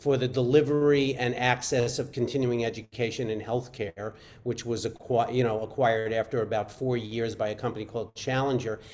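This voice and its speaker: Intonation stays fairly even in this voice with a Brooklyn accent. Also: man. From US Northeast, Brooklyn, New York. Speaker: physician and venture investor. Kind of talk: panel discussion.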